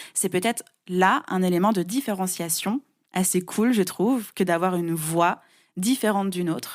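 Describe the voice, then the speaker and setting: In a very clean recording with a silent background, a woman talks at a medium pitch with ordinary pitch variation. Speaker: podcast coach. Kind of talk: interview.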